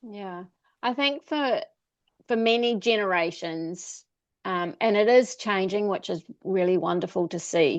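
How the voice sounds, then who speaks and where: Against a quiet background, a woman with a New Zealand accent speaks at a fairly slow pace with lively intonation. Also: medium pitch for a woman. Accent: Kiwi. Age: 50s. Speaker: travel coach. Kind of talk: interview.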